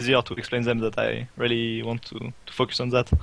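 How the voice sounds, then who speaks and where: A man with a French accent, medium in pitch, with a bright, sharp tone at a moderate pace. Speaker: esports player. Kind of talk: interview. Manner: halting.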